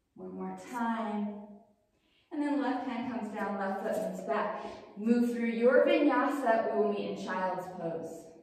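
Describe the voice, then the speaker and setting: In strong room echo, a woman with a fairly high pitch speaks at a fairly slow pace with ordinary pitch variation. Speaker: yoga instructor. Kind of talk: guided yoga class, calm cueing of poses and breath. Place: home room. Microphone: camera far.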